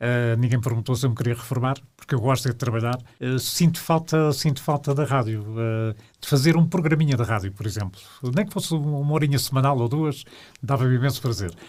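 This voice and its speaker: Somewhat breathy and at a medium pitch, a man speaks at a fairly quick pace. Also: ordinary pitch variation. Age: 70s. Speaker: retired radio broadcaster and journalist. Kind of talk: interview. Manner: halting, many fillers.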